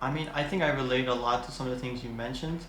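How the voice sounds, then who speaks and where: A man talks at a very fast pace with fairly even intonation. The recording has audible room echo and noticeable background noise. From Philippines. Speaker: podcast host. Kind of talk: casual interview.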